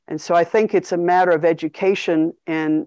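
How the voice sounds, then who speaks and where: A woman with an American accent has a dark, mellow tone, a fairly low pitch and fairly even intonation. The sound is dry and close with no echo, and the background is quiet. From US. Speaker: international organization executive. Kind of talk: interview.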